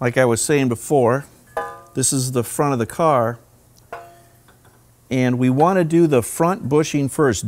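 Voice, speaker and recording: A man speaking at a fairly slow pace over faint background music. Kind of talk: tutorial. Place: workshop.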